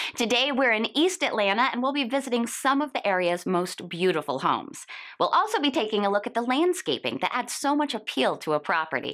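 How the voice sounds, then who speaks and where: A woman talks at a fairly quick pace with hardly any pauses and very even loudness. Her fairly high voice swings very widely in pitch and carries vocal fry. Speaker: TV host. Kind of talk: TV host read to camera.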